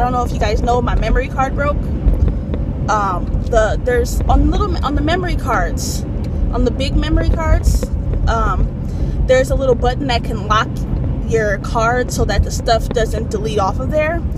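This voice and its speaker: A woman at a moderate pace, dry sound with no echo, over loud background noise. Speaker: vlogger. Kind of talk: casual vlog chat. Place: car. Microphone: phone near.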